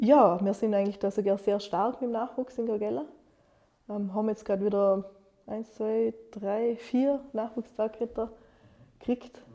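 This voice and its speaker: In a Vorarlberg accent, a woman speaks at a moderate pace with long, frequent pauses, her fairly high voice dark and mellow in tone and fairly even in intonation. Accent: Montafon Alemannic dialect. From Austria, Vorarlberg, Montafon (Gargellen). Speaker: communication designer and young entrepreneur. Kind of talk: interview.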